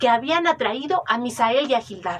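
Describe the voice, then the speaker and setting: With lively intonation, a woman speaks in a high pitch with a Mexican accent. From Mexico. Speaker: oral storyteller. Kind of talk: oral legend storytelling.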